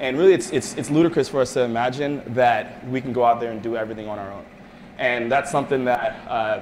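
Over light background noise, a man talks at a very fast pace with fairly even intonation. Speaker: presenter. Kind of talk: presentation talk. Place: meeting room. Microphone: camera far.

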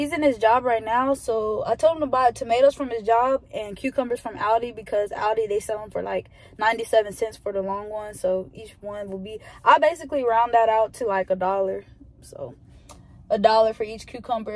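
The speech moves at a fairly quick pace with big swings in loudness. Pitch varies an ordinary amount, and the sound is dry with no echo. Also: woman. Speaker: vlogger. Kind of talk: casual vlog chat. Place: car. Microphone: phone near.

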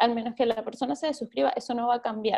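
A woman with a Venezuelan accent speaks against a quiet background. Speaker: journalist and newsletter editor. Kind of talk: workshop talk. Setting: video call. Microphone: video call.

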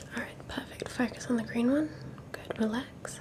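Whispering, a woman talks at a fairly slow pace. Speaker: ASMR creator. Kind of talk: soft guided ASMR instructions. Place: home room. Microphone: studio mic.

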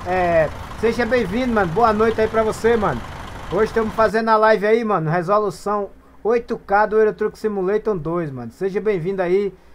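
Noticeable noise sits in the background. The talking goes at a moderate pace. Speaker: gaming live streamer. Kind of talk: live gameplay stream chat. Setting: voice chat over Discord during live stream. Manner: animated.

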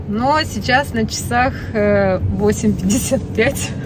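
Against noticeable background noise, a woman talks in a dry sound with no echo. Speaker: family vlogger. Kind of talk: casual vlog chat. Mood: cheerful, amused. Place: car. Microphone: phone near.

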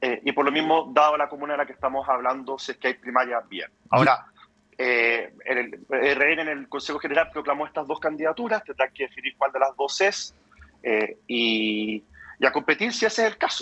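This man has an ordinary speaking voice, pitched fairly high. He talks at a moderate pace with lively intonation. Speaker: politician. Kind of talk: radio interview.

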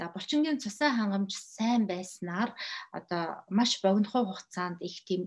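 A woman with a somewhat breathy voice speaks at a moderate pace with ordinary pitch variation against a quiet background. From Mongolia. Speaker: health educator. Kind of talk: lecture. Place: home room. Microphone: webcam.

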